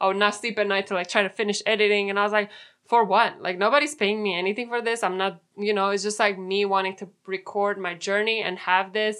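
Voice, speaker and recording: A woman with an American accent talks at a very fast pace with hardly any pauses. Her pitch is medium, and her intonation is monotone and flat. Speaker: YouTuber. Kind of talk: casual chat. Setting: in person in studio.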